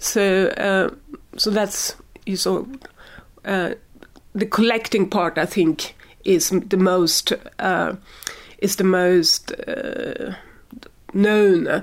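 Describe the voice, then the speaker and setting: Speaking very slowly with long, frequent pauses, a woman with a Swedish accent uses a medium pitch and ordinary pitch variation. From Sweden. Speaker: science communication expert. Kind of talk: interview. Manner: halting.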